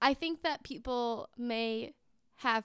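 This woman has a plain, everyday voice with an American accent. Her pitch is fairly high, with ordinary pitch variation. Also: very clean recording, silent background. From California suburbs. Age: 20s. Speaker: podcast co-host. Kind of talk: casual chat.

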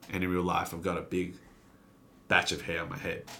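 A man speaks at a very fast pace with a very deep, low pitch. His tone is bright and sharp. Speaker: YouTuber comedian and radio host. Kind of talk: casual chat. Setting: studio. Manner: animated.

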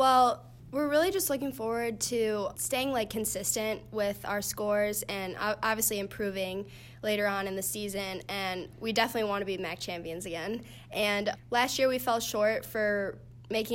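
A woman with an unremarkable speaking voice, medium pitch, ordinary pitch variation and a fairly quick pace. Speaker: college gymnast. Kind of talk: interview.

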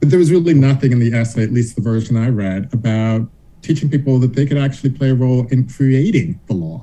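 A man with an American accent speaks at a medium pitch in a dark, mellow tone that is somewhat breathy, with ordinary pitch variation. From US South, Charleston, South Carolina. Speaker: law professor. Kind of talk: interview.

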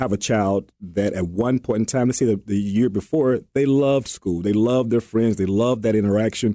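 A man speaks at a medium pitch with a Southern US accent. His tone is dark and mellow, and his loudness stays very even. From Alabama. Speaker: co-host. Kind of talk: casual chat. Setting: studio. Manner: halting.

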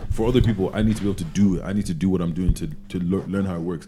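A man's very deep, low voice with vocal fry and a dark, mellow tone, at a very fast pace. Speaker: podcast co-host. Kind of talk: casual chat. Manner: animated.

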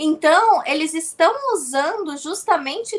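This woman's voice sits extremely high in pitch. It swings very widely up and down. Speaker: political commentator. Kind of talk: panel discussion. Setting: video call. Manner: halting.

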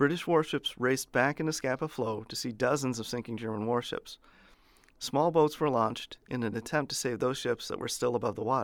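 On a very clean recording with a silent background, a man with an unremarkable speaking voice and medium pitch talks at a fairly quick pace with ordinary pitch variation. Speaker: history podcast host. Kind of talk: history documentary narration, scripted and read aloud. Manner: formal, steady, measured; even and authoritative, little emotion.

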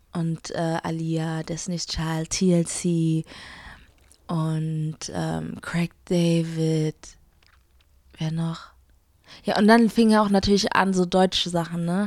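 Very slow and marked by long, frequent pauses, a woman's speech holds a fairly low pitch and fairly even intonation. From Frankfurt, Germany. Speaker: singer. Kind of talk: interview.

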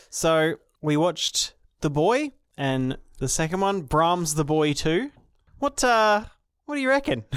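A man with an Australian accent speaks at a fairly slow pace in a high voice, his pitch swinging very widely, with long, frequent pauses on a very clean recording over a silent background. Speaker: podcast co-host. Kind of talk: casual chat.

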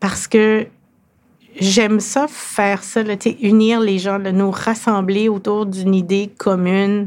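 In a very clean recording with a silent background, a woman speaks very slowly at a medium pitch in a monotone, flat intonation. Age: 50s. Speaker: lawyer and business executive. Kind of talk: interview.

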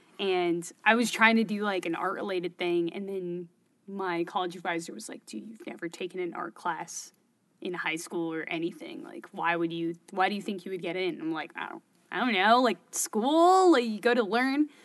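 With an American accent and a normal speaking voice, a woman talks at a moderate pace and medium pitch, using lively intonation and big swings in loudness. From Bay Area, California. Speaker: filmmaker and startup founder. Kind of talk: casual interview conversation.

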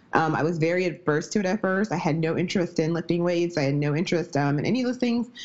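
Talking at a very fast pace, a woman with an American accent uses a fairly low pitch and lively intonation. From US Midwest. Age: 30s. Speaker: strength and nutrition coach. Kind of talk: casual interview.

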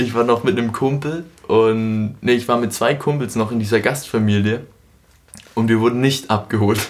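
This man has an ordinary speaking voice, medium in pitch, with fairly even intonation and a moderate pace. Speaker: podcast host. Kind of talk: casual chat.

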